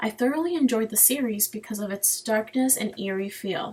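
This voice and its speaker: Her pitch is fairly high, and the woman keeps to a moderate speed. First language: Spanish. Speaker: student. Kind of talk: personal narrative presentation.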